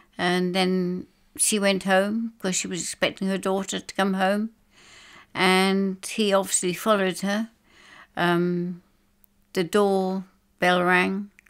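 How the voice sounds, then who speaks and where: In an English accent, a woman with a medium-pitched voice speaks very slowly in a flat monotone with long, frequent pauses, in a very clean recording with a silent background. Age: 70s. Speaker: bereaved mother. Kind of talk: testimony. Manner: halting.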